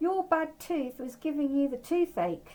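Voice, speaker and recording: This woman uses a put-on character voice pitched high. She talks at a moderate pace. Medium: read story.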